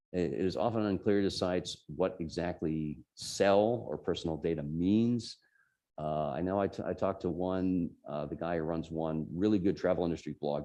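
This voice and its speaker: A man's very deep, low voice with a dark, mellow tone, a slight New Jersey accent and ordinary pitch variation. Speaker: tech journalist, invited speaker. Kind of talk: talk to a user group.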